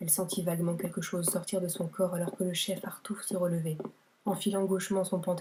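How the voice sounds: The speaker reads aloud. The voice is natural.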